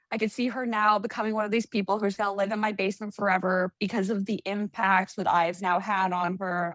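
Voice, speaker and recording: A woman talks in an unremarkable speaking voice at a medium pitch. She leaves hardly any pauses. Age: 40s. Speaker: acupuncturist and athlete. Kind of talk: casual interview chat.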